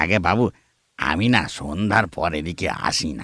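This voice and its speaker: A man puts on a raspy character voice, very deep and low, at a moderate pace on a very clean recording with a silent background. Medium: audio drama. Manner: deferential, calls them babu.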